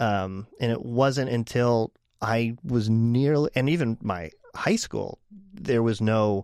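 In an American accent, a man uses an ordinary speaking voice at a medium pitch with ordinary pitch variation, in a dry, close sound with no echo. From Pittsburgh area, Pennsylvania, US. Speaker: illustrator and radio DJ. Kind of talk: casual chat.

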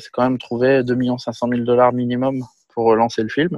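A man's medium-pitched voice at a fairly slow pace. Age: 40s. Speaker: film and TV director. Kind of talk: casual interview. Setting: video call.

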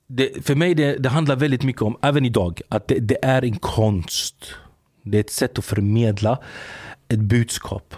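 A man speaks at a medium pitch with ordinary pitch variation. The sound is dry and close with no echo. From Sweden, Gothenburg (Angered). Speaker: former salafist preacher. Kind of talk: interview. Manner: animated; halting.

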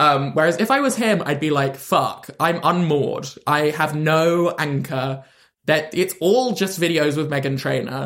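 Speaking with a London accent, a man talks at a fairly slow pace. His fairly high pitch shows ordinary variation. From London, England. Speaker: comedian. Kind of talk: casual chat.

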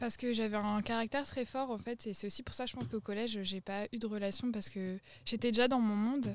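Fairly even intonation and a moderate pace from a woman with a fairly high pitch. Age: 20s. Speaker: podcast guest. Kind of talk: casual chat. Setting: outdoors, garden table.

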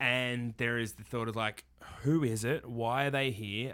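Slow-ish and monotone, a man with a medium pitch delivers his words in a bright, sharp tone with flat intonation. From Australia. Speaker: podcast host, professional Santa performer. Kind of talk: casual chat.

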